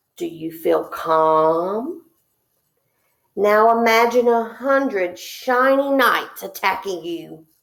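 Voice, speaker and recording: Putting on a squeaky character voice, a woman speaks very slowly at a fairly high pitch, her pitch swinging very widely. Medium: read story. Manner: stammering, nervous.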